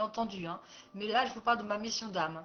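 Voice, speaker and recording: The speaker is a woman. Her pitch is fairly high. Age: 60s. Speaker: life coach and therapist. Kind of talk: personal presentation video. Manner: hesitant, many fillers.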